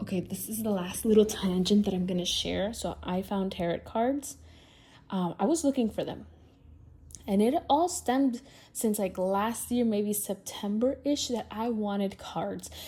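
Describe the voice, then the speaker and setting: A woman with a Spanish accent, a dark, mellow tone and a somewhat breathy medium pitch, at a moderate pace with ordinary pitch variation. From Latin America. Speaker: podcast host. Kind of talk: casual chat. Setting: at home talking to camera. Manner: conversational, free-flowing.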